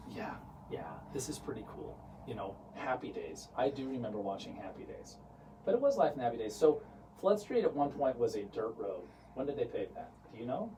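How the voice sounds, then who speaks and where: Against noticeable background noise, a man talks at a fairly quick pace with long, frequent pauses and big swings in loudness. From US West, St. George, Utah. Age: 40s. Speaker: real estate company founder, interview host. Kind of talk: casual interview. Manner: animated.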